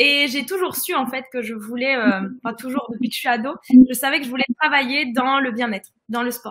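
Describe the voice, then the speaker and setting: Her pitch is high for a woman. She speaks at a moderate pace. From northern France. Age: 20s. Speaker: holistic fitness coach. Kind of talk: live-stream interview.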